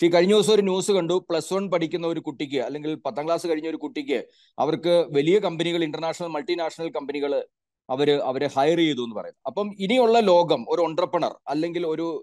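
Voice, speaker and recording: A man with an unremarkable speaking voice and a fairly high pitch uses ordinary pitch variation, recorded in a dry sound with no echo against a quiet background. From Kerala. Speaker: career counsellor and education consultant. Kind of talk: webinar presentation. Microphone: video call.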